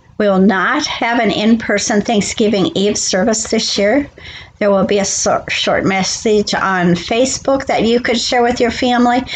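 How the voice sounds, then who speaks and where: Her pitch varies in an ordinary way as the woman talks at a fairly slow pace. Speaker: pastor. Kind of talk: church announcements. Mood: calm and warm. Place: home room. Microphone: webcam.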